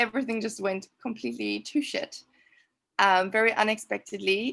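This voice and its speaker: A woman speaks with a South African accent. The recording is very clean, with a silent background. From South Africa, Cape Town. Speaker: trauma coach. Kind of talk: interview testimony.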